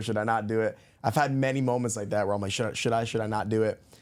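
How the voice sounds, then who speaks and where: Very fast, monotone, flat speech in an American accent, on a very clean recording with a silent background. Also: man. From New York, the Bronx. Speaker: podcast guest, former salesman. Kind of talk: casual chat.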